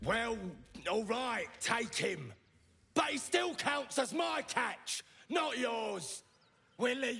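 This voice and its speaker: Man in a put-on character voice, extremely high-pitched, at a very slow pace with long, frequent pauses. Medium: video game. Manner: mocking, gleeful cruelty.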